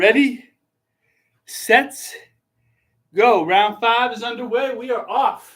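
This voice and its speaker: A man with an extremely high pitch. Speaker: teacher doing basketball dunks. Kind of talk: casual video commentary while dunking. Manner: loud.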